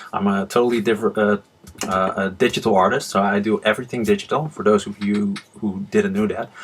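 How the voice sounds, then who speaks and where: A man speaks with a Dutch accent. Noticeable background noise sits behind him. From Netherlands. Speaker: manga artist and channel host. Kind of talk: casual vlog talk. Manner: hesitant, many fillers.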